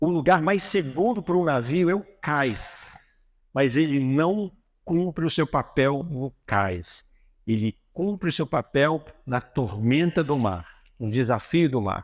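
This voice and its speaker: On a very clean recording with a silent background, a man speaks very slowly in a fairly high voice with very wide pitch swings. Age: 60s. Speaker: motivational speaker. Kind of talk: religious motivational talk. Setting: auditorium with audience.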